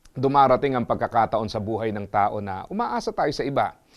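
A man talks at a fairly quick pace in an ordinary speaking voice, with lively intonation. Behind him the background is quiet. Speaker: motivational speaker. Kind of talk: scripted inspirational talk.

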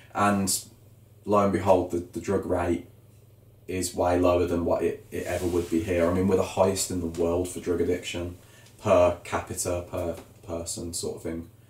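A man's very deep, low, somewhat breathy voice in a flat monotone at a moderate pace, with audible room echo. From Birmingham, England. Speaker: YouTube vlogger planning emigration. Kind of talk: casual chat. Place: home room. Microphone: camera far.

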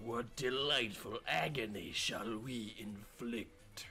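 Speech comes at a very slow pace with fairly even intonation over clear background noise. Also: man, medium pitch for a man. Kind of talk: amateur video-game voice impressions. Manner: growling, menacing.

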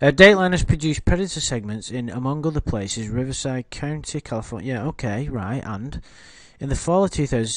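Speaking with a British accent, a man of medium pitch moves at a fairly quick pace with lively intonation over a quiet background. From Britain. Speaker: YouTube commentary host. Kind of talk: casual livestream chat. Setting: online livestream with chat.

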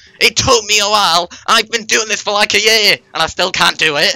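A man's high-pitched voice at a fairly quick pace, fairly even in intonation, dry and close with no echo, over noticeable background noise. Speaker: streamer. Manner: frustrated, venting.

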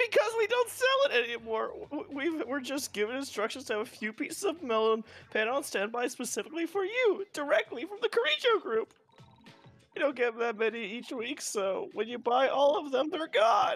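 A high-pitched voice at a moderate pace, faint music in the background. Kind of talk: comic overacting. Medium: fan dub. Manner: frantic, pleading, shouting.

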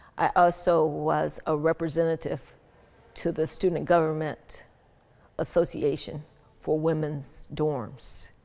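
Speaking at a fairly slow pace in a Southern US accent, a woman with a very deep, low pitch keeps her intonation fairly even. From Birmingham, Alabama. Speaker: retired business executive. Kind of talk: interview. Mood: warm, reflective. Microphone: lapel.

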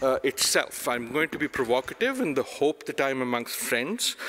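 Very wide pitch swings over a quiet background. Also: man. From Pakistan. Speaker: professor. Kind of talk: conference talk. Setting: stage with audience. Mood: provocative, wry. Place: hall. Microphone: podium.

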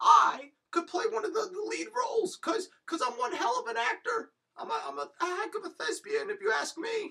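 A cartoonish character voice pitched extremely high. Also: moderate pace. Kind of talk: comic overacting. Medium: puppet show. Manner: eager, salesy, boastful.

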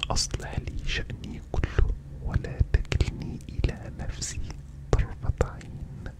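Through loud background noise, a man speaks at a very slow pace. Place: home room. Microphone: studio mic.

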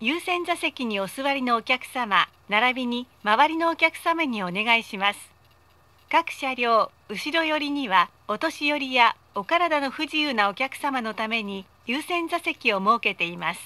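Pitched high, a woman projects a raised voice at a fairly slow pace, her intonation lively and her loudness swinging widely. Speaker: voice actor. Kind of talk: automated train announcement. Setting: PA system. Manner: polite, formal. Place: train.

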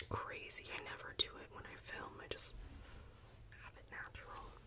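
Whispering and soft-spoken, a woman talks at a moderate pace with big swings in loudness against noticeable background noise. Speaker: content creator. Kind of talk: soft show-and-tell chat. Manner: soft apologetic whisper into mic. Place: home room. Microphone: studio mic.

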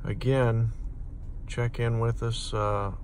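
At a slow pace, a man speaks at medium pitch with little pitch movement.

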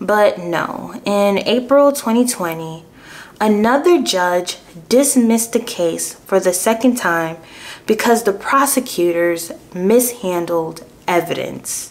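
Speaking at a very slow pace, a woman uses a medium pitch and lively intonation. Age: 20s. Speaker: true crime youtuber. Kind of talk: true crime storytelling. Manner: casual, conversational. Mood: earnest, sympathetic. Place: home room.

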